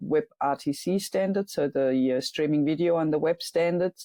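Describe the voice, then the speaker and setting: A woman's dark, mellow voice with a German accent and fairly even intonation, in a dry, close sound with no echo. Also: quiet background. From Germany. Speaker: software engineer and startup founder. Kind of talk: interview. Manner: halting, many fillers.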